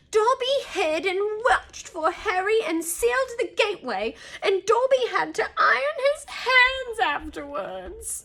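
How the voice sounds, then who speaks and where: This is a put-on character voice pitched extremely high. The delivery is fairly slow. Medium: read story. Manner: speaks of himself in third person, pleading.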